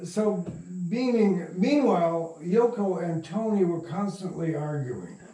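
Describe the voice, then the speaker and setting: A man with an American accent and high pitch talks at a fairly slow pace with ordinary pitch variation, over noticeable background noise and audible room echo. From US Midwest, Michigan. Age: 80s+. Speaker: radio drama producer. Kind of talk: interview storytelling. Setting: at home. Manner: halting.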